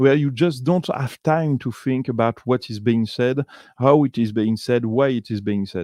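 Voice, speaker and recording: In a dry, close sound with no echo and a quiet background, a man with a French accent speaks at a fairly slow pace at medium pitch with ordinary pitch variation. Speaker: video podcaster analyzing a TV series. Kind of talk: commentary summarizing a documentary. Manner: halting, many fillers and restarts.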